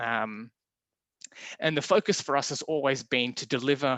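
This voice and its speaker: A man with an Australian accent has a fairly high pitch, a bright, sharp tone and ordinary pitch variation, recorded with a dry, close sound and no echo. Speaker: window supplier presenter. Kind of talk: webinar presentation. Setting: online webinar. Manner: fast.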